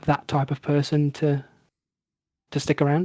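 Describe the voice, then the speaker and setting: A man's fairly high voice, somewhat breathy, with a relaxed, calm tone. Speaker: gaming video creator. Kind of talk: casual chat.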